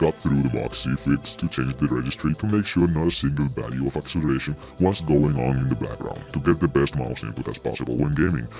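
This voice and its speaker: Very deep and low, a man's voice moves at a fairly quick pace with hardly any pauses. Noticeable background noise runs behind him. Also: ordinary pitch variation. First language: not English. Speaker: gaming video creator. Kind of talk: video essay commentary.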